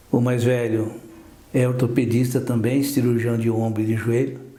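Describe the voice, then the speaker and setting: The recording has audible room echo. A man speaks at a medium pitch and moderate pace with monotone, flat intonation. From southern Brazil, Porto União, Santa Catarina. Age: 70s. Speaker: orthopedic doctor. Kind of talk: TV interview.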